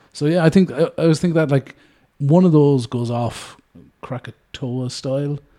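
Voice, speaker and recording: A man with an Irish accent, fairly high in pitch, with a dark, mellow tone at a moderate pace. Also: ordinary pitch variation. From Ireland. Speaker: podcast host. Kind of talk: casual chat.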